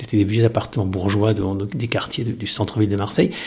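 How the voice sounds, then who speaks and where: A man with a fairly low pitch speaks in a somewhat breathy way. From southern France coast. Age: 50s. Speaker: teacher. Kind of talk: testimony.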